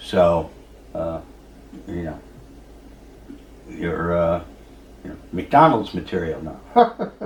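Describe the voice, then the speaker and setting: A man with a very deep, low pitch speaks very slowly and somewhat breathily, his intonation fairly even and his pauses long and frequent. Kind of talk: podcast interview host. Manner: hesitant, casual.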